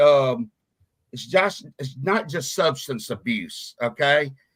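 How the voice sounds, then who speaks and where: A man with a Southern US accent speaks at a very slow pace, his pitch fairly high. His intonation is lively, and his loudness swings widely. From US South, Mississippi (Meridian). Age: 50s. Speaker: radio show host, recovery ministry leader. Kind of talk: casual talk show conversation. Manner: casual, halting with fillers.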